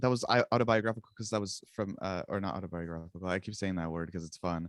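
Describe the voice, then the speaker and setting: A man speaks with ordinary pitch variation in a dry, close sound with no echo. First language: Czech. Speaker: musician. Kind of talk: casual interview chat. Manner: casual, halting with fillers.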